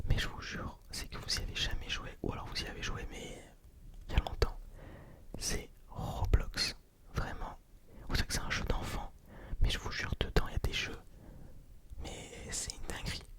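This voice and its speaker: Whispering at a moderate pace with a relaxed tone, a man leaves long, frequent pauses, his loudness swinging widely over noticeable background noise. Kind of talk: ASMR whispered storytelling of personal anecdotes. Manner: whispered, soft-spoken, relaxed; casual, rambling, conversational.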